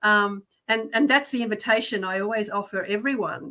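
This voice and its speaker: A woman with an Australian accent speaks in a medium pitch with a bright, sharp tone. Her pace is moderate and her pitch varies in an ordinary way. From Australia, Melbourne. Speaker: guest. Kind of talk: casual chat. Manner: halting, many fillers.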